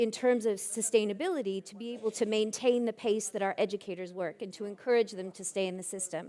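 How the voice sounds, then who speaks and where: A woman speaks with a Canadian accent. Her pitch is fairly high. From Canada. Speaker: education professor. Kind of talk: keynote talk. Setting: conference stage with audience. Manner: energetic.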